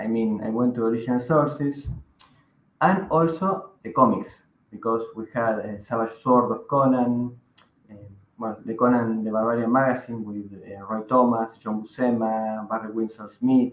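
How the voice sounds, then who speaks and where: A man with a Spanish accent speaks at a moderate pace and medium pitch, with ordinary pitch variation. His loudness swings widely. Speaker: magazine editor and writer. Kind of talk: interview.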